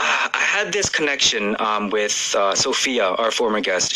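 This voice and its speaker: In a Canadian accent, a man talks at a moderate pace with very wide pitch swings over noticeable background noise. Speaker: radio DJ. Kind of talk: casual chat.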